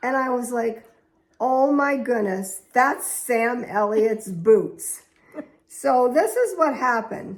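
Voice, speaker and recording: A woman with a high-pitched voice talks at a very slow pace, her intonation lively. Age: 80s+. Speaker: host's mother. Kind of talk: storytelling.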